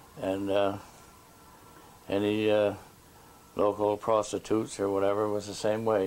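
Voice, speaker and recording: A man with a Nova Scotian accent speaks at a fairly low pitch. His pace is fairly slow and his intonation is flat and monotone. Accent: rural Nova Scotian. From Nova Scotia, Digby area. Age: 70s. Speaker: elder interviewee. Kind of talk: oral history interview. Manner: halting.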